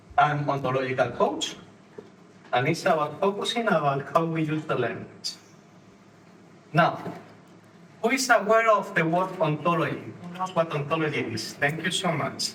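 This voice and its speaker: A man with a Spanish accent speaks at a moderate pace and a fairly high pitch, his intonation lively. He leaves long, frequent pauses, and the recording has audible room echo and noticeable background noise. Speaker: ontological coach, conference speaker. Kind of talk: conference talk. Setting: stage with audience.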